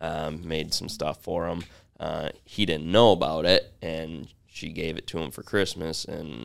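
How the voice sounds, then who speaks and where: Very deep, low pitch from a man with an American accent and vocal fry, fairly slow and with fairly even intonation. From Grand Rapids, Michigan. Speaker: leather goods business co-founder. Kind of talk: interview.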